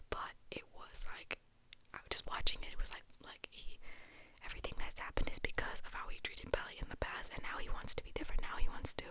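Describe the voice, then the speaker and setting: Over noticeable background noise, the whispering goes by at a very fast pace. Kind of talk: casual chatty discussion of a TV show, direct to the viewer. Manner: talking fairly fast, enthusiastic, rambling.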